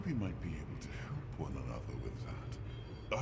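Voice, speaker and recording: A man uses a put-on character voice at a moderate pace. Loud noise fills the background. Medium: game stream. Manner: formal, slow, measured.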